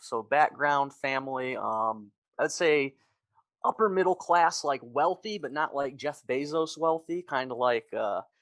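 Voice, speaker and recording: A man with a plain, everyday voice and an American accent, fairly high-pitched with ordinary pitch variation, in a dry, close sound with no echo. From US Midwest, Metro Detroit, Michigan. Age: 30s. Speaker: army veteran. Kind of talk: interview testimony. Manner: fast, with many fillers.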